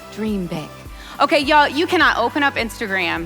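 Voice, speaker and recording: Over music in the background, a woman speaks at a moderate pace in an enthusiastic tone with very wide pitch swings. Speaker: entrepreneur and keynote speaker. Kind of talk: keynote speech. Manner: high energy, enthusiastic.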